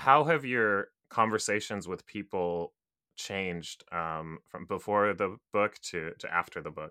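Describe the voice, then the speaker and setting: A man's fairly low-pitched, bright and sharp voice with an American accent, fairly slow, with ordinary pitch variation and big swings in loudness, in a very clean recording with a silent background and a dry, close sound with no echo. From Japan, to American parents. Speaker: podcast host. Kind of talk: interview.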